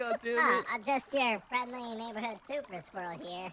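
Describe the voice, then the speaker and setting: A squeaky, put-on character voice, fairly high in pitch, at a fairly slow pace. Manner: cheerful, friendly.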